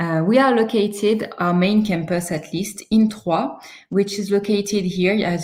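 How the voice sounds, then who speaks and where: Somewhat breathy, a woman with a French accent speaks at a moderate pace with ordinary pitch variation. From France. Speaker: university recruitment manager. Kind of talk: webinar presentation. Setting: online webinar with screen sharing. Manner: hesitant, many fillers.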